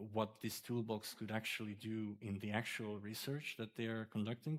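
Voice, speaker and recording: A man talks at a medium pitch. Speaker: doctoral candidate. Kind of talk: thesis defence discussion. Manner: hesitant, many fillers.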